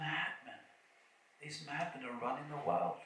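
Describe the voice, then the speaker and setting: A man is speaking with audible room echo. Noticeable background noise can be heard as well. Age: 70s. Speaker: kirtan leader and spiritual speaker. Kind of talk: festival opening talk. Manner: halting, with many fillers and repetitions.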